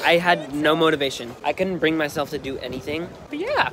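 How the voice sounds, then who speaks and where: A man talks at a very fast pace with ordinary pitch variation, the sound dry with no echo and noticeable background noise behind him. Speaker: student vlogger. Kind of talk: casual vlog chat. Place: street. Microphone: phone near.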